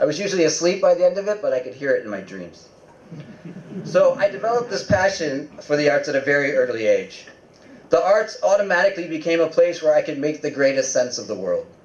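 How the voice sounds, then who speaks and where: Noticeable background noise sits behind the speaker. A man talks at a very fast pace. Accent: American. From US Northeast (upstate New York). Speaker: invited speaker. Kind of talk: public talk.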